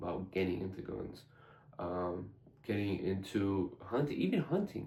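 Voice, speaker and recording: Somewhat breathy and fairly low-pitched, the man's voice has lively intonation. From US (immigrated from Iran at age five). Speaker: gun channel host. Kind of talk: casual vlog talk to camera. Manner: halting, many fillers.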